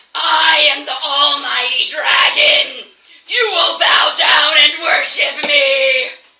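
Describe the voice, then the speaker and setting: In a high-pitched, put-on character voice, the speaker goes at a very slow pace. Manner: imposing, commanding.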